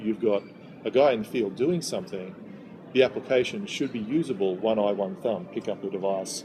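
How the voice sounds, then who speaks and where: Against noticeable background noise, a man with an Australian accent talks at a medium pitch with ordinary pitch variation. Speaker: software company delivery manager. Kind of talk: interview. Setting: in-person interview in Sydney.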